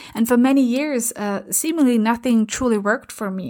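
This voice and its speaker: A woman with an Austrian accent speaks at a fairly quick pace in a fairly high pitch. The recording is very clean, with a silent background. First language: German. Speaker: transformation coach and podcast host. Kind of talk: scripted-style podcast intro and solo talk. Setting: home recording during London lockdown. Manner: animated, talks with hands and facial expressions.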